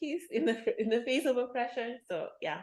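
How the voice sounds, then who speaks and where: The pace of this woman's speech is moderate. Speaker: podcast host. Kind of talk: casual chat.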